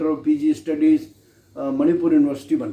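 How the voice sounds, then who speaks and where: A dark, mellow tone with fairly even intonation. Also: man. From Rajasthan, India (Kota district). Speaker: retired English professor and poet. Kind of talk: interview. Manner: halting, with fillers.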